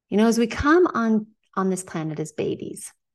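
A woman talks in an ordinary speaking voice at a medium pitch. The background is quiet. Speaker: hypnotherapist podcast host. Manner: slow, soothing, repetitive, hypnotic cadence with gentle commands.

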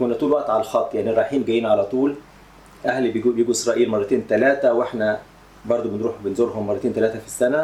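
A man talks very fast with a Cairo accent and fairly even intonation. There is noticeable background noise. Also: medium pitch for a man. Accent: Cairene Egyptian Arabic. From Egypt, Cairo. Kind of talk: interview testimony.

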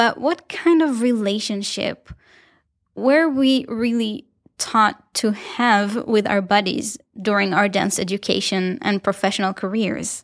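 On a very clean recording with a silent background, a woman with an Israeli accent speaks at a fairly slow pace with fairly high pitch, ordinary pitch variation and very even loudness. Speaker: podcast host and professional dancer. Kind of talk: solo podcast monologue, partly reading a blog post. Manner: warm, conversational, friendly.

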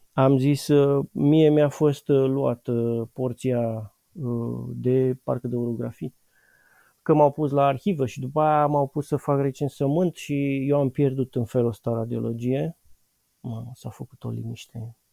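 Captured in a very clean recording with a silent background, a man speaks in a dark, mellow tone. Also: dry, close sound with no echo. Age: 40s. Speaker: radiologist. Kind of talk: casual chat. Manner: animated.

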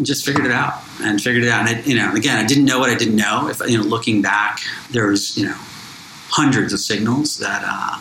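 A man with an American accent talks at a fairly quick pace. Audible room echo and noticeable background noise surround him. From Miami, Florida. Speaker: bank founder and entrepreneur. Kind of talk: interview.

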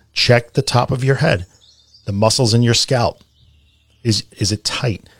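This man's voice is somewhat breathy and shows ordinary pitch variation. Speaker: podcast host guiding a relaxation exercise. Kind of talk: guided meditation, relaxation tutorial. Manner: instructional, with pauses and repetition.

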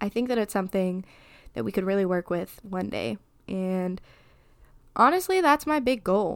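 With lively intonation and a medium pitch, a woman speaks at a moderate pace, pausing long and often, on a very clean recording with a silent background. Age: 20s. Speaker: mental health podcast host and aspiring entrepreneur. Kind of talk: solo podcast monologue.

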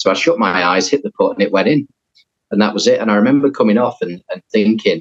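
A man speaks with a Liverpool accent. The recording has a dry, close sound with no echo. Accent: Liverpool (Scouse) English. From northern England, near Liverpool. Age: 40s. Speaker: professional golfer. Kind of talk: interview.

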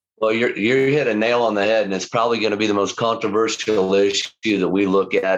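Fairly even intonation in a Midwestern US accent, over a quiet background. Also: man. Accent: rural Midwestern US. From Kansas. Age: 50s. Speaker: cattle rancher. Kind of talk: casual interview. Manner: halting.

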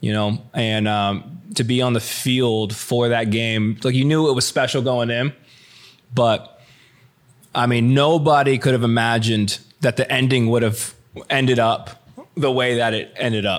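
In a plain, everyday voice, a man speaks at a fairly slow pace with medium pitch, fairly even intonation and very even loudness. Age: 30s. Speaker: podcast co-host and producer. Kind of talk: casual chat. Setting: studio.

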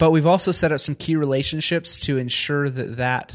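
A man with an American accent speaks in a plain, everyday voice at a fairly quick pace. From Washington State, US. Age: 20s. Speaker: entrepreneur. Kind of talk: interview.

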